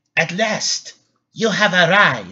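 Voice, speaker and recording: Someone uses a put-on character voice. The pitch sits in the middle. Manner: cackling, gleeful.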